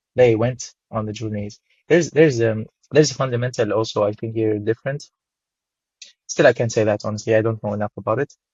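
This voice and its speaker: A man speaks very fast with an Arabic accent, at medium pitch and with fairly even intonation. His voice is somewhat breathy. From Syria. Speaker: photographer. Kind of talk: interview. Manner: halting, with many repetitions.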